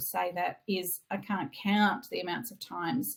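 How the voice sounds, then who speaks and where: This woman talks in an Australian accent at a moderate pace. Her voice is somewhat breathy. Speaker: reiki teacher. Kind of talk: online masterclass sales pitch.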